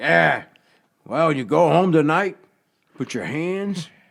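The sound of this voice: Using a put-on character voice, a man sounds gravelly and fairly high-pitched, talking at a fairly slow pace with ordinary pitch variation.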